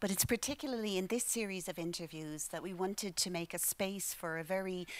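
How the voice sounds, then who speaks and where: A woman speaks with an Irish accent at a moderate pace and fairly even intonation. The recording is very clean, with a silent background. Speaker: library director. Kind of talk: formal welcome speech. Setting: stage with audience.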